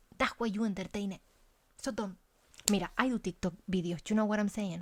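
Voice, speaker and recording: A woman talks at a fairly quick pace in a somewhat breathy, fairly high-pitched voice. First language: Spanish. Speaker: life coach and content creator. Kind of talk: casual monologue vlog. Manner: animated.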